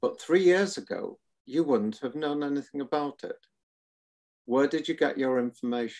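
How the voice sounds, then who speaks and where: Speaking with a Welsh accent, a man uses a fairly high pitch and ordinary pitch variation. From Wales, Cardiff. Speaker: retired surgeon. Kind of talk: panel interview.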